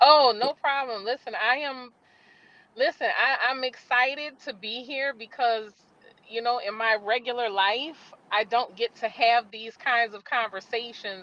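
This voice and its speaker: A high-pitched woman speaks at a fairly slow pace, with big swings in loudness. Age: 40s. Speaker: author. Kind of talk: casual chat. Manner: animated.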